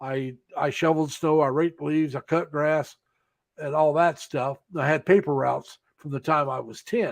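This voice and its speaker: A man with an unremarkable speaking voice, fairly high in pitch, with fairly even intonation at a moderate pace. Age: 60s. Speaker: security guard. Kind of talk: casual chat.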